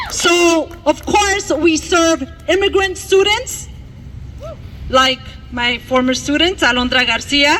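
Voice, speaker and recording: Noticeable background noise sits behind a woman with an extremely high pitch. She speaks at a very slow pace with long, frequent pauses and very even loudness. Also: lively intonation. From Mexico, raised in Milwaukee from childhood. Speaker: bilingual teacher, rally speaker. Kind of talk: rally speech. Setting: outdoor rally in a park. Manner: impassioned.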